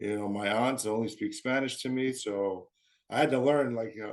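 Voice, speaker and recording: A man with an American accent talks at a fairly quick pace in a medium pitch, an unremarkable speaking voice. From US, military family. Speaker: marathon runner. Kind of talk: interview.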